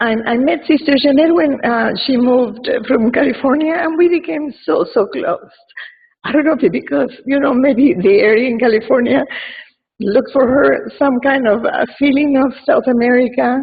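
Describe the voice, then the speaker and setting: With an Argentine accent, a woman speaks at a moderate pace in a high pitch, her pitch varying in an ordinary way. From Argentina. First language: Spanish. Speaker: mourner giving a tribute. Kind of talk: eulogy. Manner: halting.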